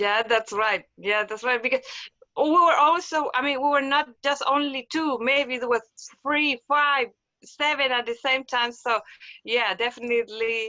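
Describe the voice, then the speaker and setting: With a Spanish accent, a woman speaks at a fairly slow pace. Her pitch is high, with ordinary pitch variation. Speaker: physical therapist. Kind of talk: casual interview. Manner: halting, many repetitions.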